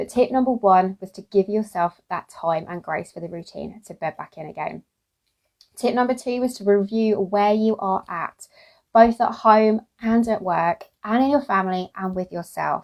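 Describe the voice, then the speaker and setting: A woman at medium pitch speaks with an English accent in a dry, close sound with no echo. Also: ordinary pitch variation, big swings in loudness. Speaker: podcast host and business coach for mothers. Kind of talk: Facebook live coaching talk. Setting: livestream. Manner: fast; animated.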